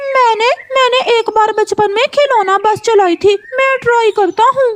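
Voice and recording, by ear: A cartoonish character voice comes through at an extremely high pitch. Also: moderate pace.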